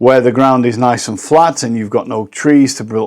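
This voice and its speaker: With a British accent, the speaker keeps a moderate pace on a very clean recording with a silent background. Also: man. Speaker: professional drone pilot. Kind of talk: tutorial.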